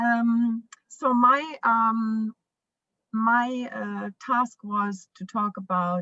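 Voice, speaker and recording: With a bright, sharp tone and fairly high pitch, a woman speaks at a very slow pace with ordinary pitch variation in a dry, close sound with no echo. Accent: German. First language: German. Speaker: parent, foundation founder. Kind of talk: conference panel talk. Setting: virtual conference video call. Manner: halting, many fillers.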